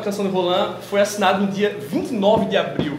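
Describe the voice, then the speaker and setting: A man talks at a high pitch. Audible room echo and light background noise surround him. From Maceió, Alagoas, Brazil. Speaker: publisher being interviewed. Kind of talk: interview answer. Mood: relaxed, smiling. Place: shop. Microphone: lapel.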